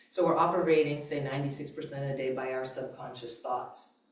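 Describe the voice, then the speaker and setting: A woman's animated voice at a very deep, low pitch and a fairly quick pace, with audible room echo and noticeable background noise. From New England. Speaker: mindset coach and speaker. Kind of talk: sermon. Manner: fast.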